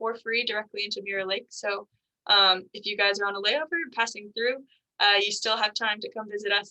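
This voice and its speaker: At a very fast pace, a woman speaks in a bright, sharp tone with a fairly high pitch. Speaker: garden education manager. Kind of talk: virtual garden tour presentation. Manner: animated.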